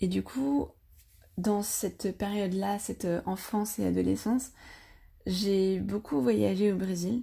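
Very slowly and with long, frequent pauses, a woman speaks at a medium pitch in a dark, mellow, somewhat breathy tone. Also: ordinary pitch variation, very clean recording, silent background. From France, with childhood stays in Brazil. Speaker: podcast guest sharing personal story. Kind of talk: personal testimony.

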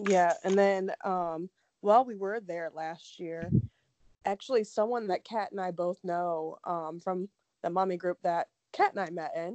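Heard in a dry, close sound with no echo, a woman with an American accent speaks at a medium pitch and a fairly slow pace. Hers is an unremarkable speaking voice with fairly even intonation. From Ohio. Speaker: true crime podcast co-host. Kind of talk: casual chat.

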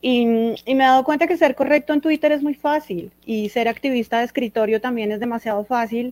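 A woman talks at a fairly quick pace in a high voice with ordinary pitch variation. The sound is dry and close, with no echo. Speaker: stand-up comedian. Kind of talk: panel discussion.

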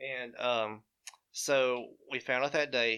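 In an Alabama accent, a man speaks at medium pitch with monotone, flat intonation. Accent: US Southern (Alabama). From Alabama, Nauvoo (Walker County). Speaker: surgical healthcare worker. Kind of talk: casual chat. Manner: halting, many fillers.

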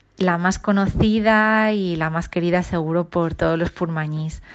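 A woman speaks fairly slowly in a plain, everyday voice at medium pitch, with ordinary pitch variation and a quiet background. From Ibiza, Sant Antoni. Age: 40s. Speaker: nurse. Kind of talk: voice message testimony. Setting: recorded voice message.

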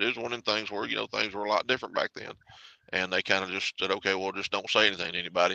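A man with a Southern US accent talks very fast in a fairly low, bright and sharp voice against a quiet background. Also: dry, close sound with no echo. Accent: Southern US (Georgia). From Atlanta, Georgia, US South. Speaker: truck driver and charity fundraiser. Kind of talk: casual interview.

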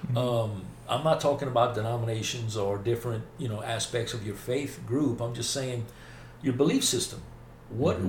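Talking at a fairly quick pace with a Southern US accent, a man with a somewhat breathy, medium-pitched voice uses ordinary pitch variation. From US South, north Mississippi. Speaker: faith podcast host. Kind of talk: casual interview about faith.

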